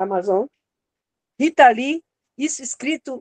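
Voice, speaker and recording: A high-pitched woman's voice, dark and mellow in tone, at a fairly slow pace, dry with no echo over a quiet background. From Piauí, Brazil. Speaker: guest. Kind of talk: casual panel discussion. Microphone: video call.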